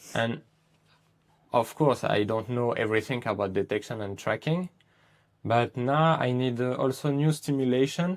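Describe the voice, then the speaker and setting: The recording is very clean, with a silent background. A man with a French accent speaks with ordinary pitch variation and long, frequent pauses. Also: medium pitch for a man, moderate pace. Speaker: dog trainer. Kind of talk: casual interview chat. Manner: halting.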